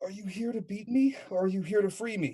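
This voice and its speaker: Using a put-on character voice, the speaker talks at a fairly quick pace in a fairly high pitch. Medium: actual play. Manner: weak, wary.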